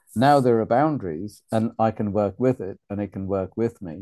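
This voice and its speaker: A man speaks at a fairly slow pace with a fairly low pitch and a British accent. His tone is dark and mellow, and the background is quiet. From Uganda, raised in UK. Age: 50s. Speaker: men's group facilitator. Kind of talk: casual chat.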